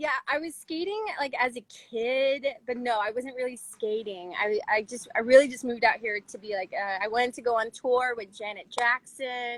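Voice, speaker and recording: She has an unremarkable speaking voice with an American accent and a fairly high pitch. Her pace is moderate, her pitch varies in an ordinary way, and her loudness swings widely. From US South, Chattanooga, Tennessee. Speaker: professional roller skater and dancer. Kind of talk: casual interview. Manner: casual, filler-heavy.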